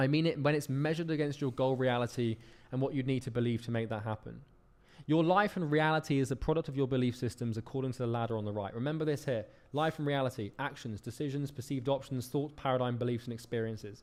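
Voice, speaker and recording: With a British accent, a man speaks at a very fast pace. His pitch is medium, with ordinary variation. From United Kingdom. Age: 20s. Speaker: business coach. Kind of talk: lecture.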